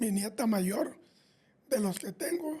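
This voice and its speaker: A man speaks at an extremely high pitch, yet his tone is dark and mellow. He moves very slowly, with lively intonation. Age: 80s+. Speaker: podcast co-host, grandfather. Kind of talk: podcast conversation.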